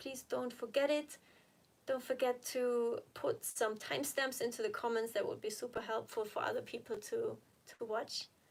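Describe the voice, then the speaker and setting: A woman with a non-native accent talks at a fairly slow pace in a high pitch, with lively intonation. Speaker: health and recovery vlogger. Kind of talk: live stream Q&A. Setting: live stream from home. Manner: chatty, informal.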